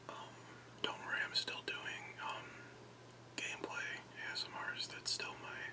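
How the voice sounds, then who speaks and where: Whispering at a moderate pace comes through noticeable background noise, broken by long, frequent pauses. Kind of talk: ASMR unboxing talk. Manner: whispered.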